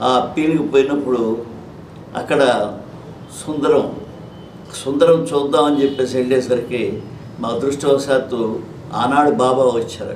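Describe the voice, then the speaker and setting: Noticeable background noise and audible room echo around a man's fairly high voice with fairly even intonation. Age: 80s+. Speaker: retired auditor, devotee. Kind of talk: interview, personal testimony. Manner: halting.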